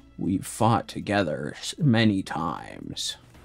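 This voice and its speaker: A man uses a put-on character voice with a fairly low pitch, speaking at a fairly slow pace. Faint music plays in the background, and there is hissing. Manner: sinister, slithering, poorly done.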